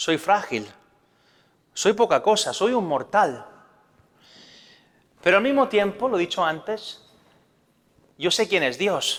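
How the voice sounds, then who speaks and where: A man with a Spanish accent speaks at a very slow pace. His pitch swings very widely. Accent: Spanish (Spain). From Spain. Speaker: priest. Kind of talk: religious talk.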